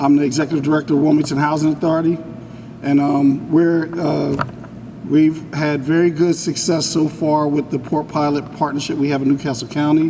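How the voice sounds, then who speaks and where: A man with a fairly high pitch speaks at a moderate pace in a monotone, flat delivery, with noticeable background noise behind him. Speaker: housing authority director. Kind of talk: public speech. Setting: community center event, no mic. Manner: loud.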